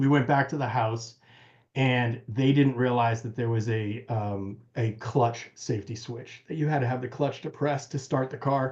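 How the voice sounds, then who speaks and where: A man with an American accent speaks at a moderate pace in a medium pitch, somewhat breathy and with fairly even intonation, over a quiet background. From United States. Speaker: car restorer. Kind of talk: casual chat.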